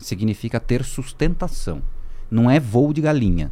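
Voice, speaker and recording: Very clean and silent behind him, the recording catches a man with a dark, mellow tone. His intonation is lively. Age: 40s. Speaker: marketing executive. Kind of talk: podcast interview. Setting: at home.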